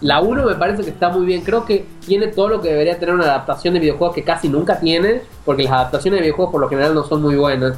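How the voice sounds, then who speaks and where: A man with a high pitch rushes along at a very fast pace with hardly any pauses and ordinary pitch variation, over noticeable background noise. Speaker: film website founder. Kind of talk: casual chat.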